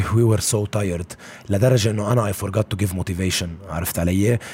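A man at a fairly quick pace, with a fairly low pitch and fairly even intonation. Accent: Lebanese. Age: 20s. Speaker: basketball coach. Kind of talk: casual interview. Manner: heavy Arabic-English code-switching.

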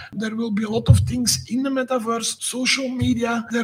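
Noticeable background noise sits behind a man's voice. His pitch is extremely high, with fairly even intonation. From Belgium. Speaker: tech startup CEO. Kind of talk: interview.

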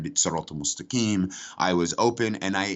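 Moderate pace with ordinary pitch variation. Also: man. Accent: American. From United States. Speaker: former jihadist, counter-extremism worker. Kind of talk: interview.

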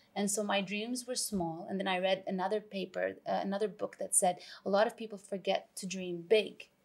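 At a fairly quick pace and with hardly any pauses, a woman uses a normal speaking voice with medium pitch and fairly even intonation. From Canada, Vancouver. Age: 40s. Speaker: TV chef and cookbook author. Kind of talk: casual interview chat.

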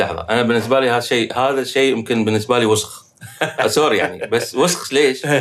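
At a fairly quick pace and very even loudness, a man in a normal speaking voice talks at medium pitch with ordinary pitch variation. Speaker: film composer. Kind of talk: casual chat.

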